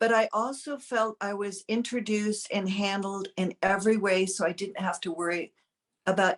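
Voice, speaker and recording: A woman with a normal speaking voice talks at a moderate pace and medium pitch, her intonation fairly even, in a dry, close sound with no echo. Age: 60s. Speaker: client sharing a testimonial. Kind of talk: interview testimonial.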